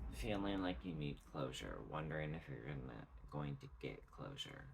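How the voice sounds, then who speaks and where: Noticeable background noise and audible room echo surround a man whose voice is very deep and low in pitch. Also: ordinary pitch variation. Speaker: tarot reader. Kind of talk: tarot reading monologue. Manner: slow; halting.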